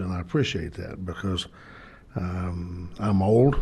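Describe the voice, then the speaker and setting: Somewhat breathy, a man talks in a space with audible room echo. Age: 70s. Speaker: city board director. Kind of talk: council meeting remarks. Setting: city board meeting. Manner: halting.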